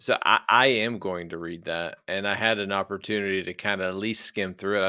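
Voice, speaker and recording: A man with an American accent speaks in an ordinary speaking voice at a fairly quick pace with hardly any pauses, his pitch fairly low and his intonation fairly even, on a very clean recording with a silent background. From US, rural West Virginia. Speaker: podcast host and army officer. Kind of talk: podcast interview.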